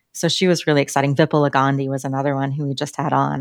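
In a very clean recording with a silent background, a woman with a very deep, low voice and an American accent talks at a fairly quick pace in a monotone, flat intonation. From Colorado. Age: 40s. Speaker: podcast co-host, design operations leader. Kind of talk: casual interview.

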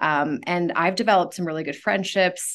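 A woman with an American accent speaks in a normal speaking voice at medium pitch and moderate pace, over a quiet background. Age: 30s. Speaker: school counselor. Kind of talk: casual interview. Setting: studio.

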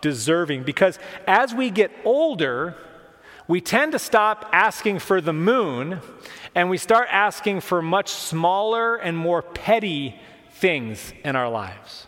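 A man speaks at a fairly slow pace with very wide pitch swings amid noticeable background noise. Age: 40s. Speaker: pastor. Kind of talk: sermon.

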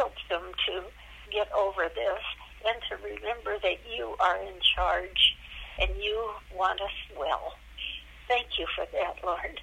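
Amid noticeable background noise, a woman speaks very slowly with long, frequent pauses. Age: 90s. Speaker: retiree. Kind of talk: prayer.

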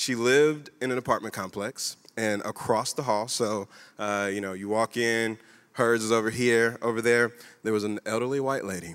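A man speaks in a normal speaking voice with an American accent, at medium pitch and a moderate pace. His intonation stays fairly even. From Kentucky, US. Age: 30s. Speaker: church guest speaker. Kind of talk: church stage conversation. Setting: church stage with audience.

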